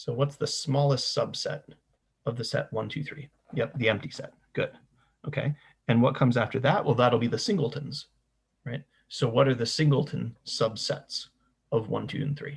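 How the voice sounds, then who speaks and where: At a moderate pace, a man with a medium pitch speaks with vocal fry and fairly even intonation, leaving long, frequent pauses. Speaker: university lecturer. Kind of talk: lecture.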